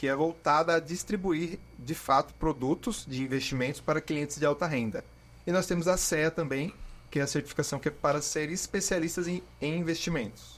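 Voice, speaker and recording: Using an ordinary speaking voice, the man speaks fairly high in pitch, with ordinary variation, at a moderate pace. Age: 20s. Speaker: financial advisor and marketing student. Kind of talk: podcast interview. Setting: studio.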